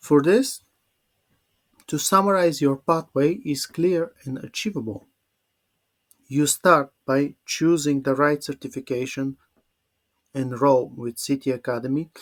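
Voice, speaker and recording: A man with a Bulgarian accent and a fairly high pitch speaks with ordinary pitch variation and long, frequent pauses, in a dry, close sound with no echo. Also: fairly slow pace. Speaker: English teacher. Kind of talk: webinar presentation. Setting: online webinar. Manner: halting.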